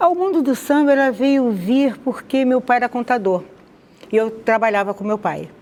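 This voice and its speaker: A woman talks at a moderate pace. Her voice is high-pitched, with lively intonation. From Rio de Janeiro, Brazil (Madureira). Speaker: conversion testimony guest. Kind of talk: testimony interview.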